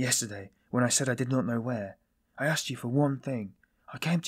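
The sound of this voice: With a quiet background, an unforced reading voice is heard.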